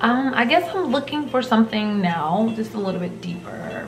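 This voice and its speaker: A woman talks at a moderate pace amid noticeable background noise and audible room echo. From US South, rural. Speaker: vlogger. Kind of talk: casual talk to camera.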